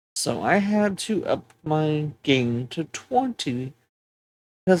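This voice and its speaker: A soft-spoken woman talks at a very slow pace in a very deep, low voice. Her pitch swings very widely. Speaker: streamer. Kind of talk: tutorial. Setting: home, apartment.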